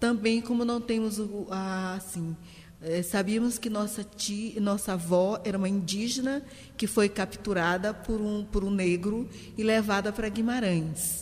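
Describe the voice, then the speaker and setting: A somewhat breathy woman at medium pitch, fairly slow in pace, with fairly even intonation. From Maranhão, Brazil (São Luís). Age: 60s. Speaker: literature teacher. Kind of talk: interview conversation.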